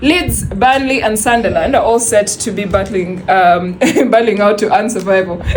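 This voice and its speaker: A woman's medium-pitched voice at a moderate pace with ordinary pitch variation, amid audible room echo and noticeable background noise. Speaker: radio sports presenter. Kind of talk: radio sports segment. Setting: radio studio.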